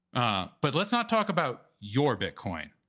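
A man with an American accent and a bright, sharp tone uses vocal fry and very wide pitch swings, on a very clean recording with a silent background. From US South, New Orleans. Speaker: Bitcoin wallet presenter. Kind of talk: presentation. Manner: halting, many fillers.

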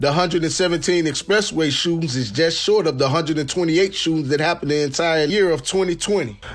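Noticeable background noise sits behind this man. His voice is fairly high with ordinary pitch variation. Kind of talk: radio newsreading with station promo and ad reads. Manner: polished, brisk, crisp broadcast delivery.

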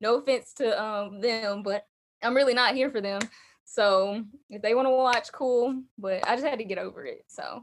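Speaking with an Alabama accent, a woman uses a fairly high pitch, ordinary pitch variation and a moderate pace, on a very clean recording with a silent background. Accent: Southern US (Alabama). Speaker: content creator, fashion influencer. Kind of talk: casual interview.

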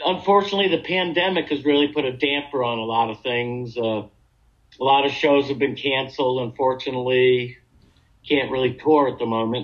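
A normal speaking voice talks at a fairly quick pace with an American accent. Its pitch variation is ordinary. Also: man, medium pitch for a man. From Long Island, New York. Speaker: guitarist. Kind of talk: interview.

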